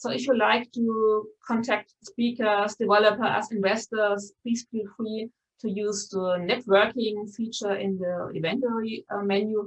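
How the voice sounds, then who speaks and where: A woman with a Bavarian German accent speaks at a fairly high pitch in a somewhat breathy voice, her intonation fairly even and her speech with hardly any pauses. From Bavaria, Germany. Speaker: conference host, journalist. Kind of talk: event moderation, welcome address. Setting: live-streamed online conference. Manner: many filler words, um and uh.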